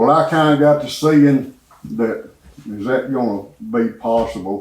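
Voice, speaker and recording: This man has a Southern US accent and a medium pitch. He talks at a fairly slow pace with ordinary pitch variation. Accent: Southern US (Georgia). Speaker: church member giving testimony. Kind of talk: testimony.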